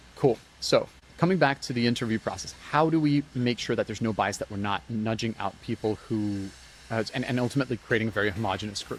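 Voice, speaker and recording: The man speaks very fast. His pitch is medium. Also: ordinary pitch variation. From international, moved between countries as a child. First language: not English. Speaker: community founder. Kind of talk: podcast talk. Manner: casual, many false starts and repetitions.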